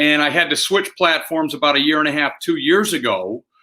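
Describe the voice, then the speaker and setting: This man has an American accent and a fairly high pitch. His is a plain, everyday voice with ordinary pitch variation. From Michigan, US Midwest. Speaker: sales trainer. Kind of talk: interview.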